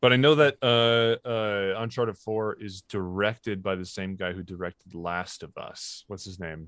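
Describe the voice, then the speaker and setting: A man with an ordinary speaking voice talks at a moderate pace and a fairly low pitch, with big swings in loudness. The sound is dry and close with no echo, over a quiet background. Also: ordinary pitch variation. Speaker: podcast co-host. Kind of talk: casual chat about movies.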